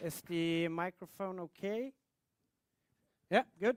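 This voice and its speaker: In a dry, close recording with no echo, a high-pitched man speaks with ordinary pitch variation and long, frequent pauses. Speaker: engineer giving a talk on cockpit displays. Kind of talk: technical presentation.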